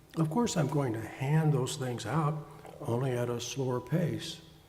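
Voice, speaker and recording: A man with a fairly high pitch talks at a fairly slow pace with ordinary pitch variation, and audible room echo surrounds his voice. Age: 70s. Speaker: pastor and psychotherapist. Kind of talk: sermon.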